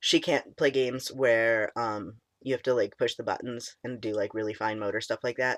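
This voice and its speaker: Shaky and at a medium pitch, a man talks at a fairly quick pace. The recording is very clean with a silent background, dry and close with no echo. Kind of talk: casual talk to camera.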